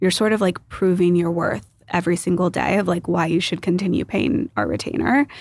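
Using a fairly low pitch with vocal fry, a woman speaks at a fairly quick pace with lively intonation and very even loudness. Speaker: investor and partnerships executive. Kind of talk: casual interview chat. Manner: calm, eloquent.

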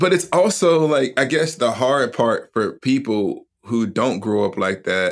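On a very clean recording with a silent background, a man with an American accent talks very slowly with lively intonation. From US South, Huntsville, Alabama. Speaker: seminary professor and author. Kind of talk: casual interview chat.

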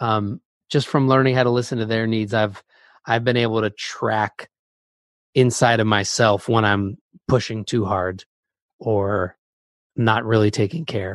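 Speaking at a fairly slow pace with long, frequent pauses, a man with a medium-pitched voice keeps his intonation fairly even, and the sound is dry and close with no echo against a quiet background. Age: 30s. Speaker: music producer. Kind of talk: casual chat.

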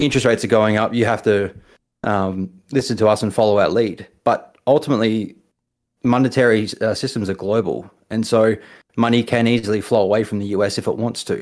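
A man's medium-pitched voice with a New Zealand accent, fairly even intonation and a fairly quick pace. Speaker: caller. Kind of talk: call-in conversation. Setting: remote call.

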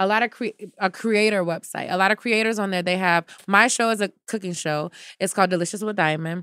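A woman with an American accent, a bright, sharp tone, fairly even intonation and a fairly quick pace, in a dry, close sound with no echo. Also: medium pitch for a woman. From United States. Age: 20s. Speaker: TV personality. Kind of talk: casual chat.

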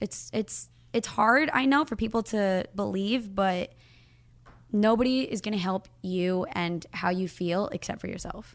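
A woman speaks in a normal speaking voice, fairly high in pitch, at a moderate pace with lively intonation. The recording is very clean, with a silent background. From moved around the US (California, Arizona, Florida). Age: 20s. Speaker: social media influencer. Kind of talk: casual chat.

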